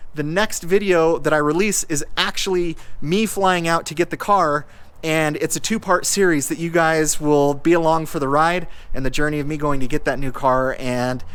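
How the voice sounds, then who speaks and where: This man has an unremarkable speaking voice, pitched fairly high. His pitch varies in an ordinary way. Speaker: car YouTuber. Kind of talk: casual vlog talk to camera. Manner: conversational, with fillers and restarts.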